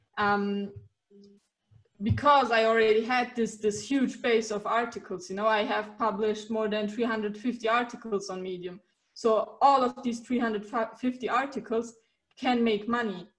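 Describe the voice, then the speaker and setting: With fairly even intonation, this somewhat breathy voice keeps going. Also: woman, fairly high pitch for a woman. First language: German and Turkish. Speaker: writer and coach. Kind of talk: interview. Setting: video call.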